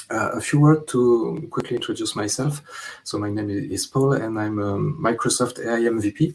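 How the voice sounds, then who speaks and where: A man's somewhat breathy voice at medium pitch, with a strong French accent, a moderate pace and ordinary pitch variation. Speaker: data consultant. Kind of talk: conference talk. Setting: remote online conference. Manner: halting, many fillers.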